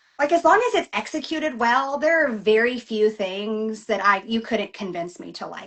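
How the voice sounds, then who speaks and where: The speaker has a Southern US accent and lively intonation. The pace is fairly quick. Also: woman. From US South. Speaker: novelist. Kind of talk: casual interview. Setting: live video chat.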